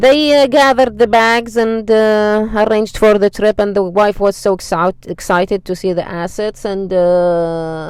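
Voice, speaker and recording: Speaking at a fairly slow pace with hardly any pauses, a woman uses a plain, everyday voice at medium pitch and ordinary pitch variation. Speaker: storyteller. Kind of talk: casual storytelling. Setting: in a car.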